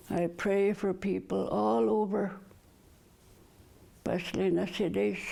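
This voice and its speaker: A woman's fairly low, dark, mellow voice with vocal fry, very wide pitch swings, very even loudness, a fairly slow pace and long, frequent pauses. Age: 70s. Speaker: community elder. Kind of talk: personal testimony.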